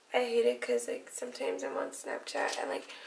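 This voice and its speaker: A woman speaks over noticeable background noise. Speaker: beauty YouTuber. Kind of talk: makeup tutorial. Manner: casual, hesitant with fillers.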